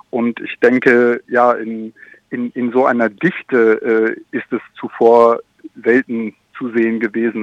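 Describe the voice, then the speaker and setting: This man's voice sits at a medium pitch and sounds dry and close, without any echo. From France. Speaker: small farmer and freelance journalist. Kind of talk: interview. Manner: halting, many fillers.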